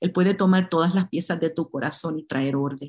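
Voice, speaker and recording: A woman with a Puerto Rican accent at a fairly quick pace, fairly low pitch, ordinary pitch variation, and a dry, close sound with no echo. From Puerto Rico. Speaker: pastor and conference speaker. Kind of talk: sermon.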